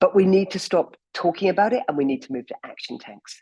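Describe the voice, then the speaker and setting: Speaking at a medium pitch, a woman has a dark, mellow tone touched with vocal fry. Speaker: campaign founder giving a talk. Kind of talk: presentation talk. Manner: fast.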